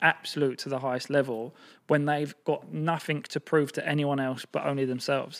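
Here a man speaks with a fairly high pitch. His intonation is monotone and flat at a moderate pace. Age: 30s. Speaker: marketing entrepreneur. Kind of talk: casual chat.

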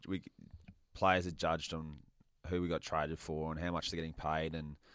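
A man with an Australian accent speaks fairly quickly in a very deep, low voice. The recording is very clean, with a silent background. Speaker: former footballer. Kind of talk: casual chat.

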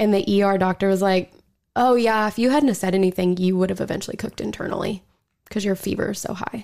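A woman with an American accent talks at a very fast pace, her medium-pitched voice keeping a fairly even intonation. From Oklahoma. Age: 20s. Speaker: listener sharing ghost story. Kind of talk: casual chat.

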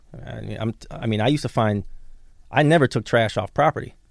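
A man with an American accent at medium pitch with vocal fry and ordinary pitch variation, at a very fast pace, in a very clean recording with a silent background. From Chicago area, Illinois. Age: 30s. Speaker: entrepreneur. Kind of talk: casual chat.

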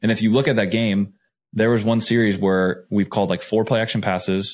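A man with an American accent has a normal speaking voice, fairly low in pitch, with fairly even intonation. He talks at a fairly quick pace on a very clean recording with a silent background. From Arizona, Phoenix. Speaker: NFL quarterback. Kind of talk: casual chat.

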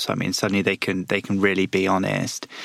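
A man with a fairly low pitch talks at a fairly quick pace in an unremarkable speaking voice, the sound dry and close with no echo. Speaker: podcast co-host. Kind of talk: casual chat.

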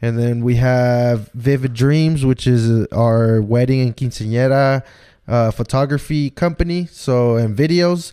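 A man's dark, mellow voice at a fairly slow pace. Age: 20s. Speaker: creative business partner. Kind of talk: casual chat.

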